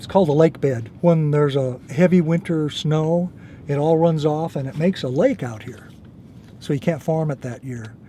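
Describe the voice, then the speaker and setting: Somewhat breathy and fairly high-pitched, a man with an American accent talks in a dark, mellow tone with ordinary pitch variation. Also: moderate pace. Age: 70s. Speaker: farmer. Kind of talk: casual explanation on farm tour.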